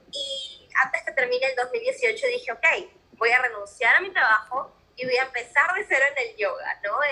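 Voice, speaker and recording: At a moderate pace, a woman uses a raised, projected voice that is high-pitched with lively intonation. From Peru. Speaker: mentor and life coach, podcaster. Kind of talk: casual interview chat.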